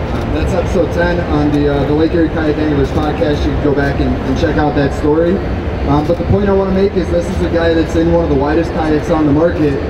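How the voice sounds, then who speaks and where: The speech comes at a very fast pace. Loud background noise is present. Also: man. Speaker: presenter. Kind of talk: seminar presentation. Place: hall. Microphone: handheld.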